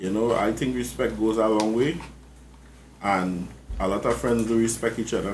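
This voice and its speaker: Audible room echo surrounds the voice. A man speaks with lively intonation. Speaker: podcast host. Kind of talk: casual chat.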